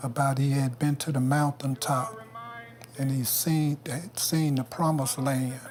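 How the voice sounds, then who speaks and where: A man speaks fairly slowly in a fairly high pitch, with monotone, flat intonation. Noticeable background noise is present. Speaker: sanitation worker, civil rights veteran. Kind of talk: testimony.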